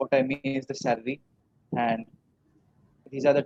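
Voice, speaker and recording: A man with a Bengali accent speaks at medium pitch in a dark, mellow tone, monotone and flat, with a dry, close sound and no echo. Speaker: English learner. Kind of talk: mock job interview practice; casual chat. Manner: hesitant, many fillers.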